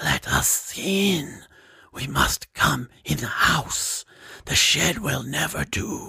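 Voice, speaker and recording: In a put-on character voice, a man speaks at a very slow pace with a fairly high pitch, sounding raspy and hissing. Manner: eerie, pleading, menacing.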